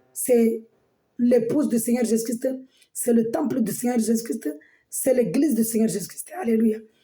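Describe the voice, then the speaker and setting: A dark, mellow tone with fairly even intonation. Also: woman. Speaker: preacher. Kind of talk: sermon. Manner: halting, many repetitions.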